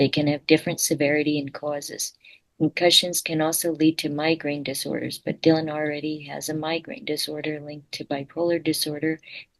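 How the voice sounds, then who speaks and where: A woman talks at a moderate pace with a very deep, low pitch. Her intonation is monotone and flat. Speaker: student and friend. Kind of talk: explanatory narration. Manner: difficulty controlling volume and tone.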